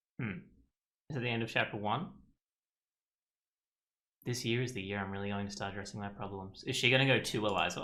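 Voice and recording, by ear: A man with a fairly low pitch and a bright, sharp tone talks at a fairly quick pace, leaving long, frequent pauses amid audible room echo. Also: ordinary pitch variation.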